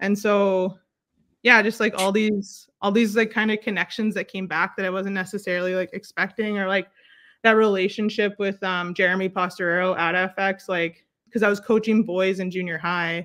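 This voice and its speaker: At a moderate pace, a woman talks with a medium pitch. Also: very clean recording, silent background. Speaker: basketball coach and educator. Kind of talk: casual interview. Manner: loud; animated.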